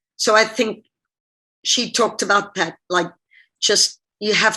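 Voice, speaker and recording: A woman speaks in a bright, sharp tone with an American accent. Her delivery is flat and monotone at a moderate pace. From Zimbabwe. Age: 50s. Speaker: diving coach. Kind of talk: interview on webinar. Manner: casual, conversational.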